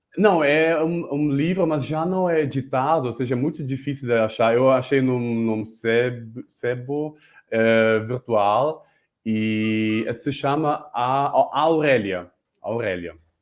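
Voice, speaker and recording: At a very slow pace, a man with a German accent speaks at a medium pitch with ordinary pitch variation. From Germany (Berlin). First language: German (speaking Portuguese). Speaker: multimedia artist and guest. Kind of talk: interview chat. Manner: halting, many repetitions.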